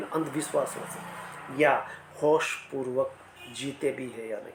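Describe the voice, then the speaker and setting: A man with a fairly high voice is heard over noticeable background noise. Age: 60s. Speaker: motivational speaker. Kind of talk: motivational talk.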